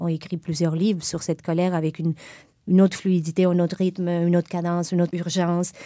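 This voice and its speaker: A woman speaks at a fairly quick pace in a fairly low voice with a dark, mellow tone. Her intonation is monotone and flat, in a very clean recording with a silent background. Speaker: literary magazine co-editor. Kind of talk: casual interview conversation.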